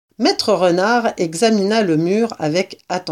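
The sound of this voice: Ordinary rises and falls in pitch from a reading voice that sounds unforced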